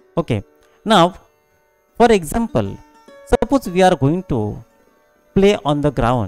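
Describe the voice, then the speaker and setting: Faint music plays in the background as a man talks at a fairly slow pace, the sound dry with no echo. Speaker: college physical education teacher. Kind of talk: lecture.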